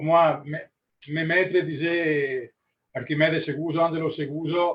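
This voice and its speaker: Very slowly and with long, frequent pauses, a man talks at a fairly high pitch with an Italian accent. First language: Italian (speaking French). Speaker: master glassblower. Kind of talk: webinar discussion. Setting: live webinar. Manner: halting, searching for words.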